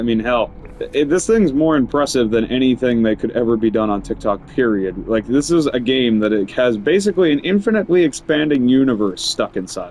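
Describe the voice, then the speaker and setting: A man speaks at medium pitch and a fairly quick pace, with hardly any pauses and very even loudness. His intonation is lively, and there is noticeable background noise. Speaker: gaming streamer. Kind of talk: gameplay commentary. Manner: casual, animated.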